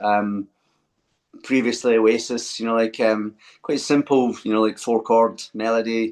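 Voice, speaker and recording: Speaking at a fairly slow pace, a man with a Scottish accent has a medium-pitched voice. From Scotland, Glasgow. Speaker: singer-songwriter. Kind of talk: interview.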